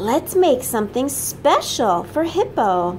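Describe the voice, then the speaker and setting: Over clear background noise, a woman in a put-on character voice speaks at a high pitch and a fairly slow pace, her pitch swinging very widely. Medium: read story. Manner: cheerful, excitable.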